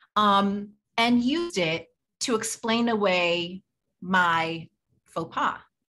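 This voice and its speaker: With a bright, sharp tone and lively intonation, a woman speaks at a medium pitch and a very slow pace, leaving long, frequent pauses. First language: not English. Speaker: psychologist. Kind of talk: interview.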